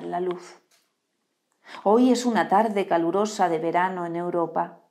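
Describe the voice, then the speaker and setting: A woman's solemn tone, fairly slow in pace, with fairly even intonation. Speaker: poetry reader. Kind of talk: poetry reading, read aloud live. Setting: live stream. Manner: slow, measured, expressive reading with solemn pauses. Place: home room. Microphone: lapel.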